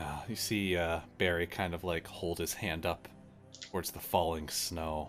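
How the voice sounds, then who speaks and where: Clear music plays as a man in a put-on character voice with very deep, low pitch speaks at a moderate pace. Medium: actual play. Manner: rough dialect, plainspoken.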